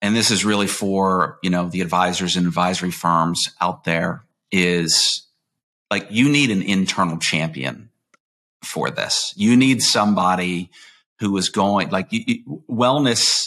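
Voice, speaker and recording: A man's very deep, low voice with a bright, sharp tone and ordinary pitch variation, on a very clean recording with a silent background. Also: fairly slow pace. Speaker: podcast host, retirement plan advisor. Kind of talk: podcast interview.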